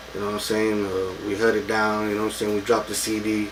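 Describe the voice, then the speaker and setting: In a South Texas accent, a man with a fairly low pitch talks at a fairly quick pace, with noticeable background noise and audible room echo. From Texas, Taft near Corpus Christi. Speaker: rapper. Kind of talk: casual interview.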